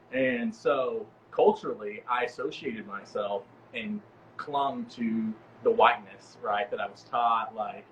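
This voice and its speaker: Here a man speaks with big swings in loudness. There is noticeable background noise. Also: fairly slow pace. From East Texas, US. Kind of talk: casual chat.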